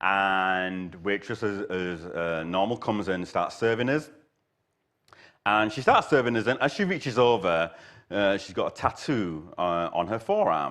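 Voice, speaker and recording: Over a quiet background, a man with a Yorkshire accent and a fairly low pitch speaks fairly slowly with ordinary pitch variation. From Yorkshire, northern England. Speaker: guest preacher. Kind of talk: sermon. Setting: church service with live audience. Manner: hesitant, many fillers.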